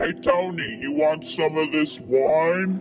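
In a cartoonish character voice, a man speaks at a fairly slow pace and a fairly high pitch over clear background noise. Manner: friendly, laid-back.

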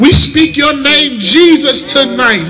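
A man with an extremely high pitch speaks at a fairly slow pace in a raised, projected voice. Clear music plays in the background. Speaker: prayer leader. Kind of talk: fervent prayer. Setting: church. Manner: fervent, call-and-response exhortation. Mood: fervent, grateful. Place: street.

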